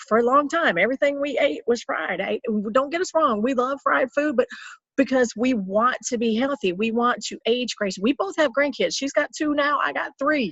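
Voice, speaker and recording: This woman speaks at a moderate pace in a high voice with a Southern US accent, her intonation lively and her tone animated. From US South. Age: 50s. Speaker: health coach. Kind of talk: casual chat.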